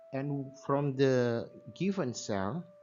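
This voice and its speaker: A man with a non-native accent speaks at a medium pitch with ordinary pitch variation. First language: not English. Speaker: science teacher. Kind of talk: tutorial. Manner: halting.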